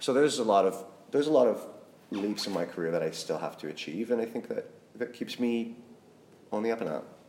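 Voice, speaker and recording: Over noticeable background noise, a man with a Canadian accent speaks at a very fast pace, medium in pitch with ordinary pitch variation. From Saskatchewan, Canada. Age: 30s. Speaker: painter. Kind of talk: casual interview. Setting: artist's studio.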